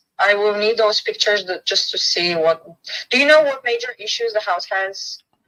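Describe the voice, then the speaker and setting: Speaking at a moderate pace, a woman with a Bulgarian accent has a fairly high pitch. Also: ordinary pitch variation. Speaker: real estate agent. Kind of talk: business phone call.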